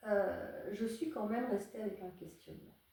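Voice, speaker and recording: A woman's dark, mellow voice at medium pitch, with vocal fry, a fairly slow pace and audible room echo. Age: 60s. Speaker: psychotherapist and psychoanalyst. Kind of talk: interview. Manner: hesitant, many fillers.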